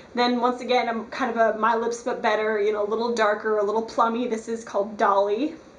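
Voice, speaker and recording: Amid audible room echo, a woman talks at a fairly quick pace with a fairly high pitch and monotone, flat intonation. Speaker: beauty vlogger. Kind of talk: tutorial. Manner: fast; casual, filler-heavy.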